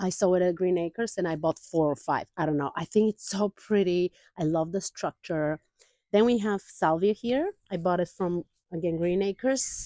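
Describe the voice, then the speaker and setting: A woman speaks at a medium pitch with ordinary pitch variation and a dark, mellow tone. The sound is dry and close, with no echo. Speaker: gardening vlogger. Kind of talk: casual garden tour vlog. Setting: outdoors in garden. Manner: fast.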